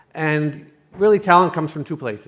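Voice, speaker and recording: A man speaks at a fairly quick pace with a slight Canadian accent. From Canada. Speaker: entrepreneur, summit sponsor. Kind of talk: panel discussion. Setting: stage at a conference.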